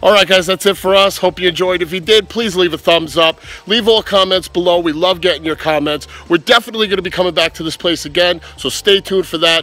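A man talks at a very fast pace in a high voice with ordinary pitch variation, the sound dry with no echo and faint music in the background. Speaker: hobby vlogger. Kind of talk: casual vlog chat. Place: street. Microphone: phone near.

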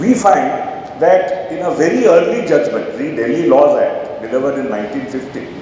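Strong room echo fills this recording of a man speaking. Light background noise is also present. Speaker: lecturer at a memorial lecture. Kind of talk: lecture. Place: hall. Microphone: podium.

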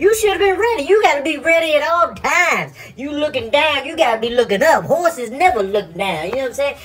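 A man puts on a character voice at an extremely high pitch. Clear background noise can be heard. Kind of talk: comic animal voice-over. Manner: swaggering, bragging, playful.

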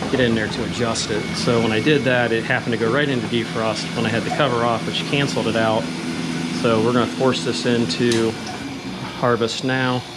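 A man talks at a fairly quick pace. Loud background noise runs underneath. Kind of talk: tutorial. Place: workshop. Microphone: phone near.

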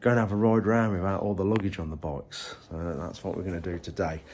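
Over light background noise, a man rushes along at a very fast pace, with vocal fry and ordinary pitch variation. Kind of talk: casual vlog chat. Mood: cheerful, slightly under the weather. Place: home room. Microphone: phone near.

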